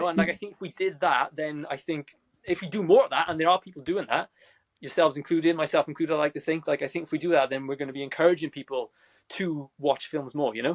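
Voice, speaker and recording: Very fast and energetic, a man talks in a fairly high pitch. The sound is dry and close, with no echo. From South Wales. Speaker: movie reviewer. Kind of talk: podcast interview answer. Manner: energetic, fast.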